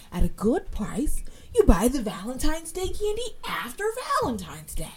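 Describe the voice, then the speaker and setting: Very wide pitch swings from a woman, with noticeable noise in the background. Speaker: podcast host. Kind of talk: casual chat. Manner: animated.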